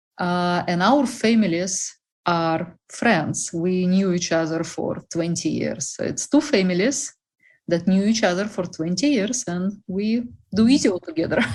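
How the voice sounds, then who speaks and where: Against a quiet background, a woman with a Russian accent speaks at a fairly slow pace and medium pitch, her voice somewhat breathy and her intonation lively. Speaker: bakery representative. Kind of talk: interview.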